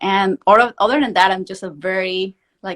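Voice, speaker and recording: In a Venezuelan accent, a woman with a medium pitch and ordinary pitch variation speaks on a very clean recording with a silent background and a dry, close sound with no echo. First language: Spanish. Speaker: prosthodontics professor. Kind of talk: interview. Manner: fast.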